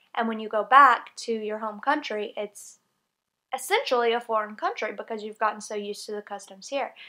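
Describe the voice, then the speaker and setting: In a Southern US accent, a woman talks at a fairly quick pace, her fairly high pitch held fairly even. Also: big swings in loudness. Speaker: English teacher in Japan, vlogger. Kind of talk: casual vlog talk to camera.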